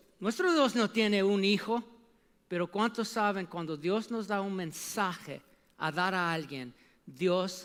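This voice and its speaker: A man with a non-native accent speaks at a fairly slow pace. His pitch is high. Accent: non-native Spanish speaker. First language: English (speaking Spanish). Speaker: preacher. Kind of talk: sermon. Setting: church. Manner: animated.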